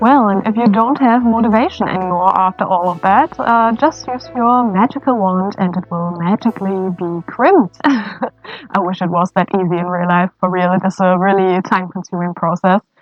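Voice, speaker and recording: With music in the background, a woman speaks at a moderate pace and medium pitch, with ordinary pitch variation and hardly any pauses. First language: not English. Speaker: cosplay wig stylist. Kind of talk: tutorial. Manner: halting, many fillers.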